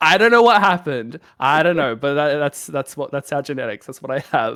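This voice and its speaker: A man with a Melbourne accent talks at a fairly quick pace, his tone bright, sharp and animated with lively intonation. The sound is dry and close with no echo, and the recording is very clean over a silent background. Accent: Australian (Melbourne). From Australia, Melbourne. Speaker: streamer. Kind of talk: casual chat.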